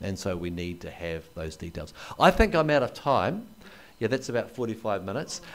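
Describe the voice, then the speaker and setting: A man with a New Zealand accent talks at a fairly low pitch that makes very wide swings. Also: big swings in loudness. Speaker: anthropologist and historian. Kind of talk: lecture. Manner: hesitant with fillers.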